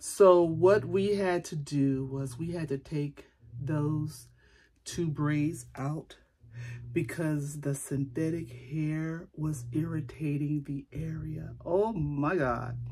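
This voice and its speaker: A woman speaks very slowly in a very deep, low voice with fairly even intonation. Her tone is dark and mellow, and somewhat breathy. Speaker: beauty vlogger. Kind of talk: casual vlog chat. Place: home room. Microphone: phone near.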